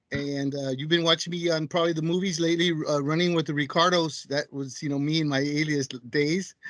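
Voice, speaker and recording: Over a quiet background, a man with an ordinary speaking voice talks at a fairly high pitch and a fairly quick pace, with fairly even intonation. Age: 60s. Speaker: community peer co-host. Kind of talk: casual chat.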